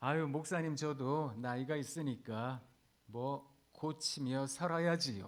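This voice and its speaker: In a very clean recording with a silent background, a man with an ordinary speaking voice talks fairly slowly, his fairly high pitch showing ordinary variation. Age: 50s. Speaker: pastor. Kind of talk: sermon. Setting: chapel service for hospital staff.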